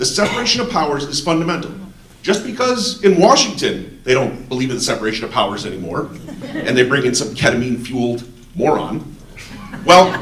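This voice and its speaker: Loud and animated, a man talks at a very fast pace in an American accent, his pitch swinging very widely. Noticeable background noise and audible room echo fill the recording. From Ohio, Cleveland area (Shaker Heights). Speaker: resident speaking at town hall, contractor. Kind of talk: public comment at town hall.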